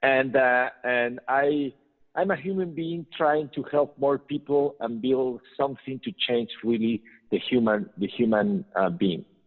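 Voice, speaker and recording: With a Spanish accent, a man speaks at a fairly slow pace and a medium pitch. His intonation is lively. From Mexico. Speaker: business trainer and entrepreneur. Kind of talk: interview. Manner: halting.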